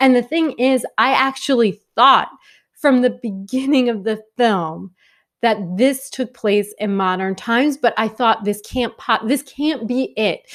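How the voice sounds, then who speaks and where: A woman's animated voice with an American accent, fairly high in pitch, with ordinary pitch variation and a fairly slow pace, on a very clean recording with a silent background. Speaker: film reviewer. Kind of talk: video review monologue.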